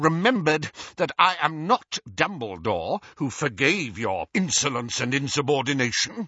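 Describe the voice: A man uses a put-on character voice, growling at a fairly slow pace with a slightly husky edge and big pitch swings. His fairly high pitch carries a bright, sharp tone in a dry, close sound with no echo.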